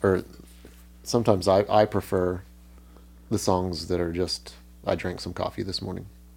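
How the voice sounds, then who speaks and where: A man with a very deep, low pitch at a moderate pace, long frequent pauses, on a very clean recording with a silent background. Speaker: musician. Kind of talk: casual chat.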